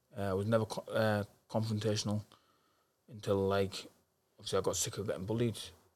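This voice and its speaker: Speaking at a very fast pace with long, frequent pauses, a man with a northeast English accent holds a fairly low pitch and a monotone, flat intonation. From northeast England, Darlington. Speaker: professional boxer. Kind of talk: interview.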